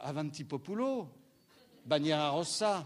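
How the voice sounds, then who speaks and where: This man talks very slowly. His pace stays very slow throughout. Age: 60s. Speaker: stage actor. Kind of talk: post-show audience discussion. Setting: theatre with audience.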